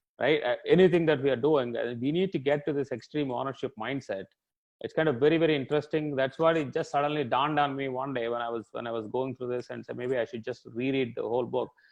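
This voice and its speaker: A man with a fairly high voice races along very fast while his intonation stays fairly even. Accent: Indian. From India, Telugu-speaking region. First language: Telugu. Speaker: tech executive. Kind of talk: interview.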